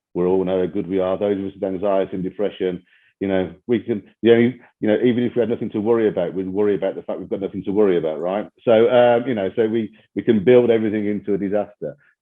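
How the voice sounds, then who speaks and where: Speaking with a Brummie accent, a man talks at a very fast pace. His pitch is fairly low. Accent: Birmingham (Brummie). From England, Birmingham. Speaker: chief executive, podcast guest. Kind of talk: podcast interview. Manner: conversational, with frequent fillers.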